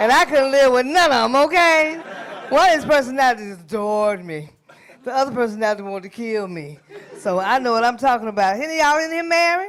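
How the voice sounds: A woman speaks at a fairly quick pace with few pauses and a fairly high pitch. Her tone is fairly bright, with ordinary pitch variation.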